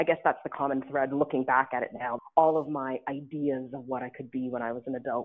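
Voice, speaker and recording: With a Canadian accent, a woman talks at a fairly quick pace in a very deep, low pitch, her intonation fairly even. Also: hardly any pauses. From Ottawa, Canada. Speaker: diplomat. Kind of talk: interview.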